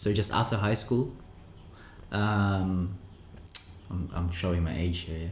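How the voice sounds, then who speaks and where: A man speaks at a very slow pace with a very deep, low pitch, somewhat breathy and with fairly even intonation. Long, frequent pauses break his speech, and room echo is audible. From Philippines (Manila, Cavite), then Melbourne, Australia. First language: Filipino. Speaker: krump dancer and DJ. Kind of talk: casual chat.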